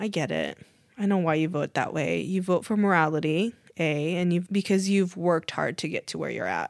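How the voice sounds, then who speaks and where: An ordinary speaking voice with an American accent and ordinary pitch variation moves at a fairly quick pace on a very clean recording with a silent background and a dry, close sound with no echo. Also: woman, fairly low pitch for a woman. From US (Korean American). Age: 30s. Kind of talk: casual chat.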